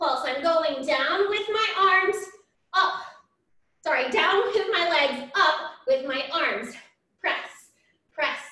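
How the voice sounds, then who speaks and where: A woman's raised, projected voice, upbeat in tone, at a very slow pace with lively intonation. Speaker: fitness instructor. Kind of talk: live-style barre workout cueing, counting reps down aloud. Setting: home workout video. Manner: upbeat, encouraging, rhythmic counting cues; energetic and warm, frequent praise.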